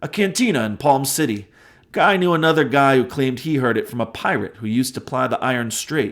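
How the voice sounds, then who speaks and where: Gruff, put-on character voice at a fairly quick pace. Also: man, medium pitch for a man. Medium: read story. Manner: gruff, playful.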